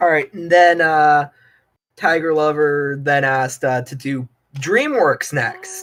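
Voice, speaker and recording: Very slow delivery broken by long, frequent pauses. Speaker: artist streaming while chatting with friends. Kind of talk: casual chat. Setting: voice call on live stream. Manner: loud and energetic.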